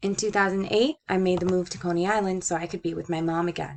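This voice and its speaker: Here a woman of medium pitch talks at a fairly quick pace with fairly even intonation. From Puerto Rico. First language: Spanish. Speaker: student. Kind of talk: scripted narration.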